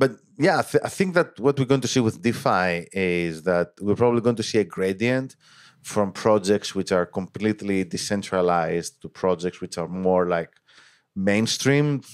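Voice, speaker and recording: With an unremarkable speaking voice, a man talks at a moderate pace in a fairly low pitch with ordinary pitch variation, on a very clean recording with a silent background. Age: 30s. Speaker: data scientist. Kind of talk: casual interview.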